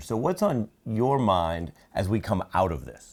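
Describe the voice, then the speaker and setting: A man speaks in a plain, everyday voice. His pitch is fairly low, with lively intonation. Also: very clean recording, silent background. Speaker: TV news anchor. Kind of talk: interviewer questions.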